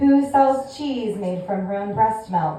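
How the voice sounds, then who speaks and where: A woman with an American accent, lively intonation and a fairly slow pace, with audible room echo. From California. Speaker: stand-up comedian. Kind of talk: stand-up. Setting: stage with audience.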